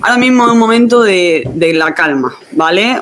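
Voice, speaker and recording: A woman's lively intonation and slight Andalusian accent at a fairly slow pace, with noticeable background noise. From Andalusia, southern Spain. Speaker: exam preparation teacher. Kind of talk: online class. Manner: halting.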